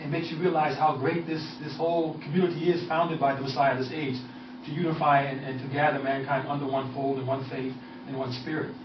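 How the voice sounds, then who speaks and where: A man talks very fast at a fairly high pitch with fairly even intonation. Noticeable background noise and audible room echo are present. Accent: American. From US Northeast, New York City area. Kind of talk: radio interview.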